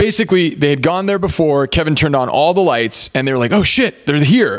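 With noticeable background noise behind him, a man speaks fairly quickly in a high voice with lively intonation. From Venezuela. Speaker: film podcast co-host. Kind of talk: casual watch-along chat. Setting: live stream recording.

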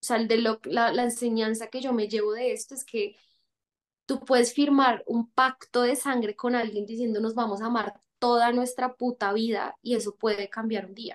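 A woman with a fairly high pitch speaks at a moderate pace in a flat, monotone intonation, her loudness swinging widely. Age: 20s. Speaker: actress. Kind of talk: casual chat.

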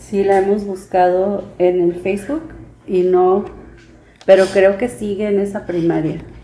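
A woman speaks with a Mexican accent and a medium pitch. Her pace is moderate and her pitch variation ordinary. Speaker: mother of the host, parent of bilingual children. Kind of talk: interview conversation in Spanish. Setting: home.

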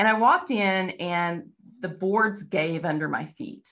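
A woman with a Texan accent and fairly low pitch talks with ordinary pitch variation. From Texas. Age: 50s. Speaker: novelist. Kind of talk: interview.

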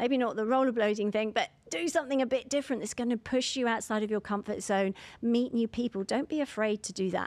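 A woman with a London accent, very fast speech, a fairly high pitch, and a dry, close sound with no echo. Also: ordinary pitch variation. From London, England. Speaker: divorce coach. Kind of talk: interview.

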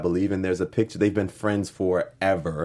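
Speaking at a fairly quick pace, the man has a fairly low pitch. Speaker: co-host. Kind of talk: casual chat discussing a TV episode. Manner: animated, enthusiastic.

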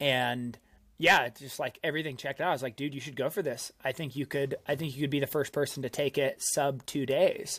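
At a fairly quick pace, a man with an ordinary speaking voice talks at a fairly high pitch with fairly even intonation. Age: 30s. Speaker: mountain runner and climber. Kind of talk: casual chat. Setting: video call.

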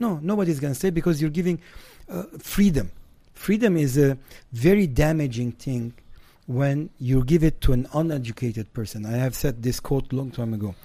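His tone is dark and mellow, with a fairly high pitch. The man keeps a moderate pace. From Lebanon. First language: Armenian. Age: 50s. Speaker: Armenian community activist. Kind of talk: heated debate. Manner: blunt, animated.

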